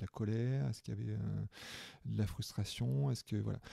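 A man talks at a moderate pace. His medium-pitched voice has a dark, mellow tone. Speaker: therapist and coach. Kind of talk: casual interview. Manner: voice dropped in intensity at one point; halting, many repetitions.

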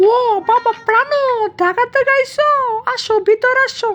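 The voice is a squeaky, cartoonish character voice. It moves at a moderate pace. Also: female-sounding voice, extremely high pitch for a woman.

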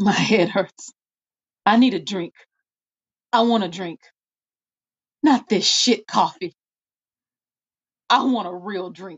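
In a put-on character voice, a woman sounds weary and raspy, speaking at a fairly slow pace with long, frequent pauses, a medium pitch and ordinary pitch variation. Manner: weary and bitter, flaring into anger.

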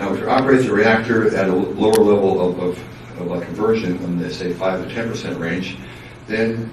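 With audible room echo, a man talks at a fairly quick pace in a low pitch, his tone slightly mellow and his intonation fairly even.

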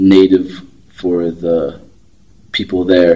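A man talks in a very deep, low voice. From New Mexico (Navajo). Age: young. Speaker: interviewee. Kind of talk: interview testimony. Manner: halting. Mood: thoughtful, reflective.

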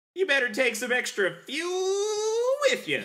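This put-on character voice goes fairly slowly at an extremely high pitch, with very wide pitch swings. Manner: haunting, ominous.

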